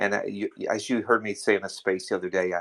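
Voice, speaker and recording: A man with a fairly low pitch speaks with fairly even intonation. The sound is dry and close with no echo, on a very clean recording with a silent background. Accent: American. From US South, North Carolina (Durham). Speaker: teacher and coach. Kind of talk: casual chat.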